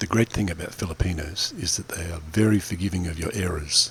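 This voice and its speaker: A man with an Australian accent talks at a fairly quick pace over noticeable background noise. His very deep, low pitch shows ordinary variation. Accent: Australian, non-American. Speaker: vlogger. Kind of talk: voiceover narration. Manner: fast.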